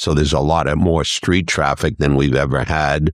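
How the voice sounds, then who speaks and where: A man talks in a very deep, low pitch with vocal fry. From New Hampshire. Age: 70s. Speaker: business owner. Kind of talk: casual chat.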